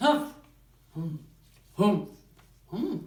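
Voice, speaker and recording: A put-on character voice, fairly high in pitch, with very wide pitch swings and slight echo. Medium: read story.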